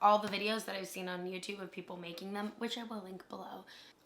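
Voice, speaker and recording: Over noticeable background noise, a woman talks at a fairly quick pace and medium pitch with ordinary pitch variation. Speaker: lifestyle vlogger. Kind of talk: casual vlog talk.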